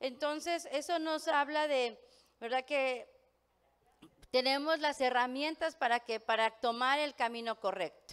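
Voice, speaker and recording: Her voice sits at a high pitch with ordinary pitch variation. The woman speaks at a fairly slow pace. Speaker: pastor. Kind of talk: sermon. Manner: many fillers and hesitations.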